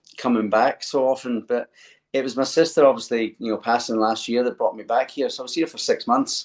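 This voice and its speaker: This man speaks with a Scottish accent. His pitch sits in the medium range. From Scotland, Glasgow. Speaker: singer-songwriter. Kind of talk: interview.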